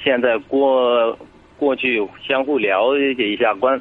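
A man speaks at a very slow pace. Noticeable background noise runs through the clip. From Sichuan, China. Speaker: caller seeking relationship advice. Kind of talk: phone-in advice call. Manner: halting, hesitant.

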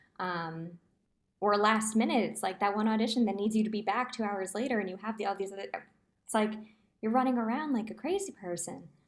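With an American accent, a woman speaks in a normal speaking voice at a fairly quick pace. Her pitch is fairly high, with ordinary pitch variation. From New Jersey. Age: 20s. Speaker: musical theatre performer. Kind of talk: casual chat.

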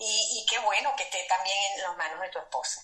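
Noticeable background noise sits behind a woman speaking at a medium pitch with lively intonation. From Venezuela, Maracaibo. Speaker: podcast co-host. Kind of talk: casual interview. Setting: remote call from hotel room.

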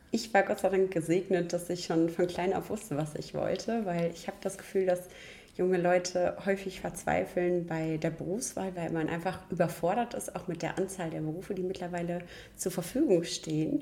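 At a moderate pace, a woman talks with a fairly low pitch and fairly even intonation over noticeable background noise. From rural Germany. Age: young. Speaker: chimney sweep master. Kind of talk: interview.

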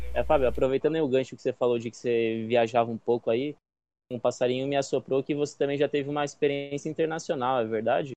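A man speaks at medium pitch. His pace is very fast. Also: fairly even intonation. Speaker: podcast co-host, psychoanalyst. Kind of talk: casual chat.

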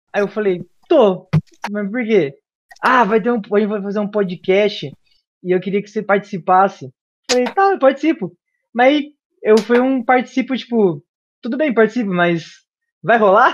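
Long pauses occur frequently. Between them the pace is moderate. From Brazil, Bauru, São Paulo. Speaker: missionary trainee. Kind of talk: casual chat and testimony.

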